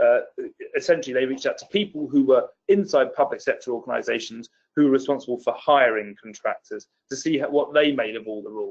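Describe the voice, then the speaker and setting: Speaking at a very fast pace with a British accent, the man shows big swings in loudness. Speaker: policy expert presenter. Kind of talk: webinar presentation. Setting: online webinar.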